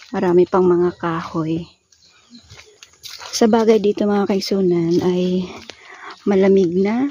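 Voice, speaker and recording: Speech at a fairly slow pace comes through noticeable background noise. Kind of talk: casual vlog narration to camera.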